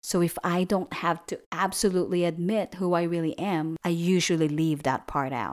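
Recorded very cleanly against a silent background, a woman with a fairly low pitch and an unremarkable speaking voice talks at a moderate pace. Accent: American. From outside the US. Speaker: podcast host. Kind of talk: scripted narration.

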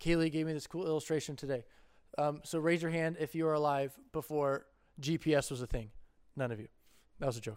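The speech moves at a fairly quick pace but has long, frequent pauses, in a very clean recording with a silent background. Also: man, fairly high pitch for a man. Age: 20s. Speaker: youth pastor. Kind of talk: youth group talk. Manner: animated.

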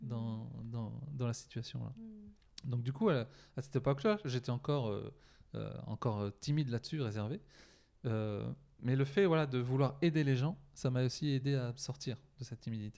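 A man's dark, mellow voice at a medium pitch, with ordinary pitch variation and a moderate pace, in a very clean recording with a silent background. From France, Poitiers. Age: 40s. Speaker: mental coach. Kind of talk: casual interview.

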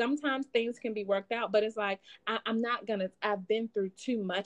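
An unremarkable speaking voice, a woman's, runs at a fairly quick pace with fairly high pitch in a dry, close sound with no echo. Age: 30s. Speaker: podcast guest, mother of three. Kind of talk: casual chat.

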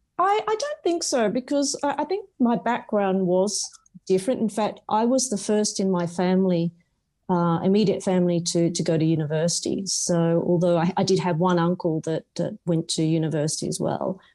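Someone with an Australian accent talks at a moderate pace, with ordinary pitch variation and very even loudness. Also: woman, medium pitch for a woman. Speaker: non-executive director. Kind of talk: interview. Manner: hesitant, filler-heavy.

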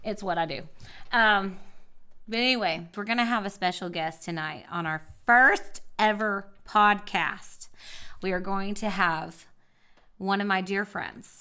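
The woman's voice is medium in pitch with a bright, sharp tone. She talks at a fairly slow pace with long, frequent pauses. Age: 40s. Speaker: podcast host. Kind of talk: casual chat. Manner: animated.

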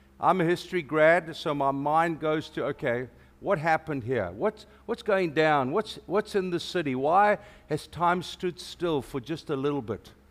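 In a South African accent, the speaker talks at a moderate pace with an animated tone and ordinary pitch variation. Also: man, fairly high pitch for a man. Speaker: preacher. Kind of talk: sermon. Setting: church.

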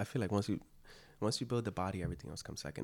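Talking at a very fast pace, a man with an American accent has a fairly low pitch, vocal fry and ordinary pitch variation. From US-born, Dominican parents. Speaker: actor and filmmaker. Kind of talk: casual chat.

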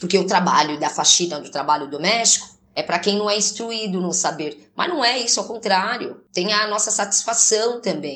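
With lively intonation and a medium pitch, a woman speaks at a moderate pace in a normal speaking voice. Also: hardly any pauses. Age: 30s. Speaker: domestic cleaner. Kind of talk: testimony.

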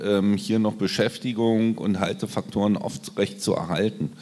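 A man speaks at a fairly slow pace with a fairly low pitch. His is an unremarkable speaking voice. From eastern Germany (Cottbus). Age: 50s. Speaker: social worker. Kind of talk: live panel discussion. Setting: stage with live audience.

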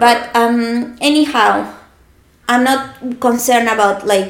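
In a strong Argentine accent, a woman speaks at a fairly high pitch with fairly even intonation. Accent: strong Argentinian Spanish. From Argentina. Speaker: podcast guest.

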